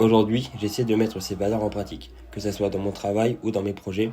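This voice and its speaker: With vocal fry and a dark, mellow tone, a man speaks fairly quickly at a fairly low pitch. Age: 20s. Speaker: job applicant. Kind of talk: scripted self-presentation video CV. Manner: upbeat, energetic.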